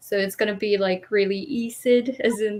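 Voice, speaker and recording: A woman with a Quebec accent talks at a moderate pace with ordinary pitch variation. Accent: French Canadian accent in English. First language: French. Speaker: English teacher in Japan. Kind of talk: livestream panel talk.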